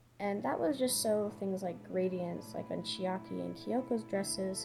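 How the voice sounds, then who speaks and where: A woman's medium-pitched voice is heard while music plays behind her. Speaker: digital artist. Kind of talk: speedpaint voiceover commentary.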